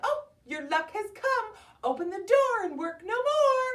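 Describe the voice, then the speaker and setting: The woman's put-on character voice is squeaky and extremely high in pitch. Her pace is fairly slow. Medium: read story. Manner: sweet, singsong.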